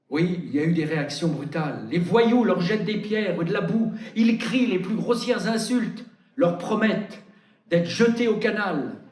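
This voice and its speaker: High-pitched male voice with ordinary pitch variation, fairly slow pace and audible room echo. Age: 80s+. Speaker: preacher. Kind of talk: sermon. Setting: church.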